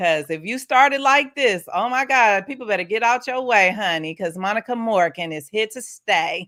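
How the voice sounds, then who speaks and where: A woman with a slight Southern US accent speaks at a moderate pace in a fairly high pitch, with hardly any pauses. Her tone is animated and her intonation lively. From US Midwest, Saint Louis influence. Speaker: podcast host. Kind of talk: casual interview chat.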